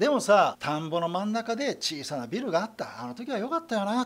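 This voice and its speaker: A man with a high voice speaks fairly quickly, his pitch swinging very widely. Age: 50s. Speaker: sales consultant. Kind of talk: lecture. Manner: animated. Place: studio.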